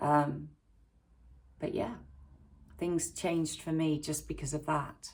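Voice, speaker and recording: A woman with an English accent at a fairly slow pace. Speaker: YouTuber and primary school teacher. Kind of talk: casual talk to camera. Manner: hesitant, many fillers.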